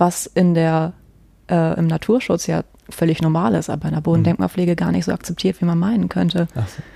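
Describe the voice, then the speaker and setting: A woman's dark, mellow tone, fairly low in pitch, at a fairly quick pace. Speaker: archaeology student and museum digitization worker. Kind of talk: casual chat.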